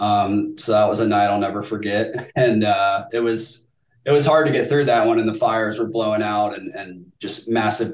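A plain, everyday voice with an American accent keeps a moderate pace with hardly any pauses. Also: man. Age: 30s. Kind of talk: casual chat. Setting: video call.

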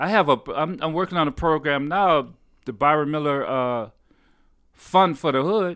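A man with a plain, everyday voice speaks at a moderate pace in a fairly high pitch with ordinary pitch variation. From Detroit, Michigan. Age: 60s. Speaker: bass player, musician. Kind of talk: casual interview chat. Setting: home studio.

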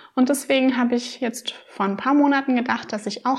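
Woman's ordinary speaking voice at a fairly quick pace, with ordinary pitch variation. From Rhineland-Palatinate, Germany. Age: 20s. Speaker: minimalism blogger. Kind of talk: casual interview.

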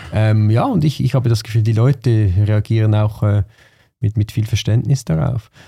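A man speaks at a moderate pace with a fairly low pitch and ordinary pitch variation. His tone is dark, mellow and somewhat breathy, with very even loudness. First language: Swiss German (speaking German). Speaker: podcast host. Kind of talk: interview conversation.

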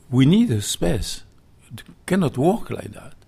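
A man speaks with a French accent at a fairly slow pace. His intonation is lively. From southwest France, Millau. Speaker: chef. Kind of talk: interview. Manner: halting.

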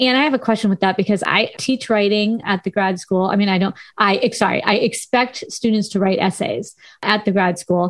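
A woman at a moderate pace uses a normal speaking voice, medium in pitch, with ordinary pitch variation and very even loudness. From Southern California. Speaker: radio host and university lecturer. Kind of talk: casual radio interview.

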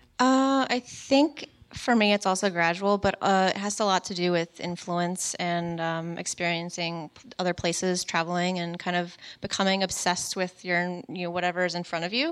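In an unremarkable speaking voice, a woman with an American accent talks at a moderate pace and a fairly low pitch with ordinary pitch variation, on a very clean recording with a silent background. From Richmond, Virginia. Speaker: illustrator and artist. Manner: joking, casual.

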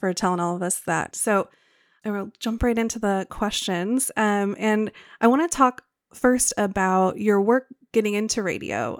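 A woman with an American accent, a plain, everyday voice at medium pitch, ordinary pitch variation and a moderate pace, in a dry, close sound with no echo and a very clean recording with a silent background. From Wisconsin. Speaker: podcast editor and guest host. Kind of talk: interview; scripted introduction. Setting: studio.

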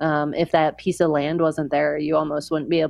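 A quiet woman talks in a very deep, low pitch with monotone, flat intonation. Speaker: long-distance trekker. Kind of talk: interview. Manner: quiet and reserved.

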